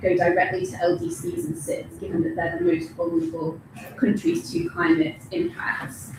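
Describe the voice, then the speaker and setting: Noticeable background noise sits behind speech at a moderate pace whose pitch varies in an ordinary way. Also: woman. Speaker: researcher at a development institute. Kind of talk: conference talk.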